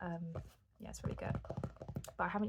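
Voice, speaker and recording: A soft-spoken woman talks at a moderate pace in a fairly low voice, with noticeable background noise behind her. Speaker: ASMR creator. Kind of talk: ASMR soft-spoken rambling.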